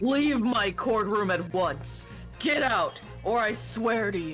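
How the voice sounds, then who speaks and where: Clear music plays in the background. Someone uses a fairly high, put-on character voice at a fairly slow pace. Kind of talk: courtroom, authoritative. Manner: gruff, commanding, threatening.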